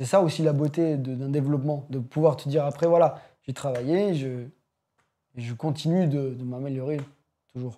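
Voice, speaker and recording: A man speaks at a moderate pace in a fairly high pitch with a dark, mellow tone. He leaves long, frequent pauses on a very clean recording with a silent background. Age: young. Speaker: young musician, guitarist and pianist. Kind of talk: casual chat. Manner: halting.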